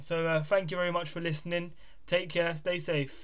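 With a southern English accent, a man talks at a moderate pace in a high voice, with audible room echo. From England, Bedford. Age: 20s. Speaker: podcast host and clothing brand owner. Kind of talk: casual monologue. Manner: informal, hesitant with fillers.

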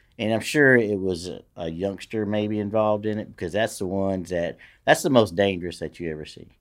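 A man's fairly low voice comes at a fairly quick pace on a very clean recording with a silent background. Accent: Louisiana. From Louisiana, Shreveport. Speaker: retired police lieutenant. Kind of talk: casual chat.

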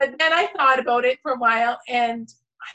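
Pitched high, a woman uses a raised, projected voice with a bright, sharp tone. She speaks at a fairly slow pace. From Canada. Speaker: author. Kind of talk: casual interview chat. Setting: video call. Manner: enthusiastic.

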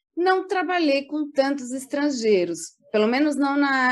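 Speaking fairly slowly, a woman uses a high pitch. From Brazil, São Paulo. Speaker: public relations professional. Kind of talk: casual interview.

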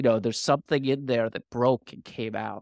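On a very clean recording, dry and close with no echo and a silent background, a man talks in an unremarkable speaking voice at medium pitch with ordinary pitch variation. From US, Washington D.C. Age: 50s. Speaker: author and former hedge fund investor. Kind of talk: casual interview.

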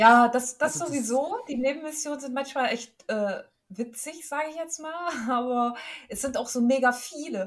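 Pitch varies in an ordinary way. The pace is moderate. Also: woman, high pitch for a woman. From eastern Germany. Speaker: gaming podcast co-host. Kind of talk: casual chat.

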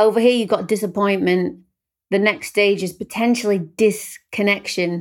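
A woman with a British accent, medium in pitch, in a warm, upbeat tone, on a very clean recording with a silent background. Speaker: podcast host, singer-songwriter. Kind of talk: casual interview chat.

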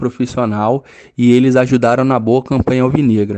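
A man's medium-pitched, dark, mellow voice, fairly quick and with fairly even intonation. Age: 30s. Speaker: physical education teacher. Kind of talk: interview.

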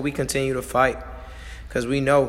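There is noticeable background noise as a man with an American accent talks. His pace is fairly quick and his pitch fairly high. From Missouri (St. Louis). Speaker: podcast co-host and coach. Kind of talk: motivational casual chat. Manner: animated.

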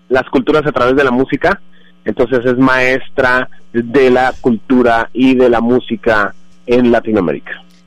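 This man has a normal speaking voice. His intonation is fairly even. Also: medium pitch for a man, fairly slow pace, very even loudness. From Colombia, Bogotá. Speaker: immigrant guest. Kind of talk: interview.

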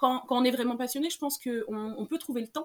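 A woman's high-pitched voice moves along at a fairly quick pace. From Senegal. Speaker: illustrator. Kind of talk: interview.

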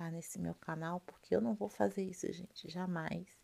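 A woman speaks at a fairly slow pace. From Rio de Janeiro, Brazil. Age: 40s. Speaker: ASMR youtuber and hairdresser. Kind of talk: ASMR casual talk. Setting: at home. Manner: soft-spoken.

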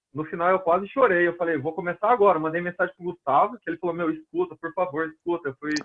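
A man with a high pitch. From Brazil, Londrina, Paraná. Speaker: personal trainer, kettlebell instructor. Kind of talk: casual podcast interview.

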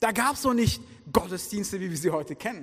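A man's speech at a moderate pace. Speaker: guest preacher. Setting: church with congregation.

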